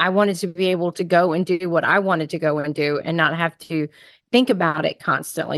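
This woman has an ordinary speaking voice, pitched fairly low. She talks at a moderate pace over a quiet background. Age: 50s. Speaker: podcast host and food addiction coach. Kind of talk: interview.

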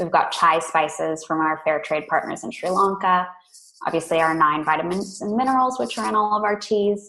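A woman with an American accent, fairly low pitch, lively intonation and moderate pace, in a normal speaking voice. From California. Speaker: tea company co-founder. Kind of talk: interview.

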